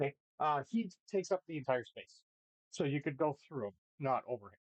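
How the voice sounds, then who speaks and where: With a normal speaking voice, a man talks at a fairly quick pace in a fairly high pitch, his intonation lively and his loudness swinging widely, in a dry, close sound with no echo. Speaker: dungeon master. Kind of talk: actual play game narration. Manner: casual.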